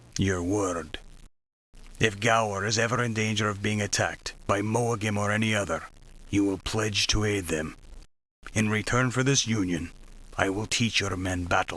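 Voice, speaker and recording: A man uses a put-on character voice, fairly low in pitch, with fairly even intonation at a moderate pace. Long, frequent pauses break it up on a very clean recording with a silent background. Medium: machinima. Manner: terse, blunt.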